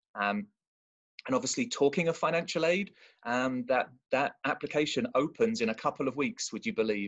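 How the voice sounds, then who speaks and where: A man's fairly high voice with very wide pitch swings against a quiet background. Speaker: college admissions representative. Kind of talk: presentation. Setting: video call. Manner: fast.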